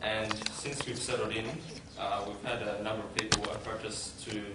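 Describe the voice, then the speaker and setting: Over loud background noise and audible room echo, a man speaks at a moderate pace. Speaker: convert speaker, university student. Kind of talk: public talk, testimony. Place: hall. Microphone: podium.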